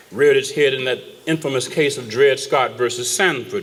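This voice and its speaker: Noticeable background noise around a man's moderate pace. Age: 60s. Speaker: judge giving keynote speech. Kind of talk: keynote speech. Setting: dinner event with audience.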